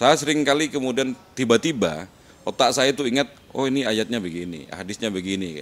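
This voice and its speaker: The man's medium-pitched voice carries vocal fry and lively intonation. He speaks very fast, with big swings in loudness. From Madura, Indonesia. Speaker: university lecturer. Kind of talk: casual interview chat.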